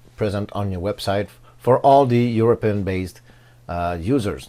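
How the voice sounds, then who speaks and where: The speaker has a non-native accent and a dark, mellow tone. The pace is moderate, with ordinary pitch variation. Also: man. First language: not English. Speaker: tech YouTuber reviewing WordPress plugins. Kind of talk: tutorial. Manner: halting, many fillers.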